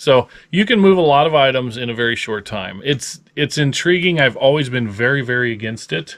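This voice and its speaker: A man with a Midwestern accent talks at a fairly quick pace with lively intonation. He leaves hardly any pauses over a quiet background. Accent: general American (Midwest). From US Midwest (Lincoln, Nebraska); Nebraska. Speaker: reseller, video channel host. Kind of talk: casual chat. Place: home room. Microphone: phone near.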